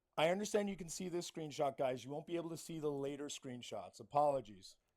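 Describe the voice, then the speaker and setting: A fairly high male voice at a very fast pace, with ordinary pitch variation. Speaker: livestream guest. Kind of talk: casual chat. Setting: live stream.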